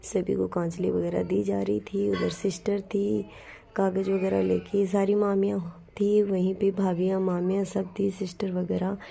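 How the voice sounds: Her voice has a dark, mellow tone with vocal fry, sitting at a medium pitch for a woman with little pitch movement and a fairly slow pace.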